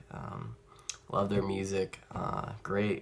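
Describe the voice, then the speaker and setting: A man speaks with a fairly low pitch. Noticeable background noise comes through. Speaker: music collector vlogger. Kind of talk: casual chat. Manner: halting; animated.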